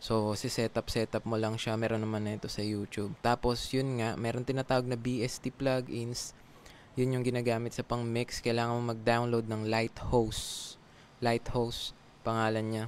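Over light background noise, a man with a slight Filipino accent speaks at a moderate pace with monotone, flat intonation. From Philippines. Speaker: call center agent and YouTuber; YouTuber. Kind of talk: casual vlog tutorial. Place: home room. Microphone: studio mic.

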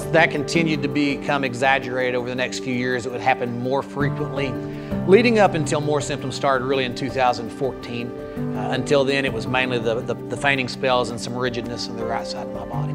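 Loud music plays behind a man who talks at a fairly quick pace. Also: ordinary pitch variation. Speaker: pastor telling his story. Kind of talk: interview answer. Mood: calm, reflective testimony. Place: church. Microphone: lapel.

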